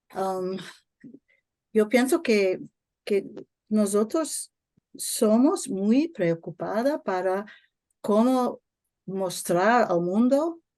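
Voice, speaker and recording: Against a quiet background, a woman with a non-native accent speaks very slowly in a dark, mellow tone, with very wide pitch swings and long, frequent pauses. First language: not Spanish (speaking Spanish). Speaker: network member. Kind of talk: online workshop Q&A comment. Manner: halting.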